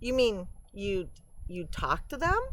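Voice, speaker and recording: A woman puts on a character voice, pitched fairly high. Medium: read story.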